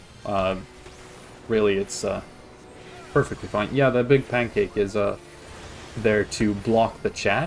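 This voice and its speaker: Over background music, a man with an American accent talks at a fairly low pitch and fairly slow pace, with fairly even intonation and long, frequent pauses. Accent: practiced American-sounding English. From Sweden. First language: Swedish. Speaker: video game streamer. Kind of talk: casual gameplay commentary. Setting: live stream. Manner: hesitant, many fillers and restarts.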